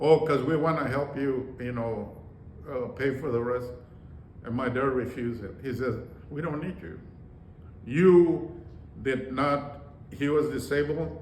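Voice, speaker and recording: Amid noticeable background noise and audible room echo, a man at a medium pitch speaks at a fairly slow pace with ordinary pitch variation and long, frequent pauses. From rural Texas, Mexican-American. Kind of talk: personal life story interview. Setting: conference room. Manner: halting, many fillers.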